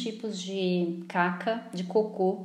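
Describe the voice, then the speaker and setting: Fairly even intonation with audible room echo. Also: woman. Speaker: therapist. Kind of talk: casual chat. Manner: talkative.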